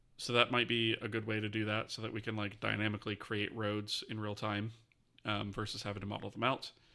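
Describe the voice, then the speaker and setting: A man mumbling at a fairly quick pace, fairly low in pitch with a bright, sharp tone and monotone, flat intonation. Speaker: game engine developer streamer. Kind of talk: live-streamed coding tutorial. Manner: fast.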